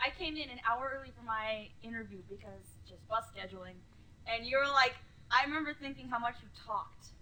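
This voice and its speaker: A woman's high, animated voice at a fairly quick pace, with ordinary pitch variation, big swings in loudness and noticeable background noise. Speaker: gaming video co-host. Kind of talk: casual chat.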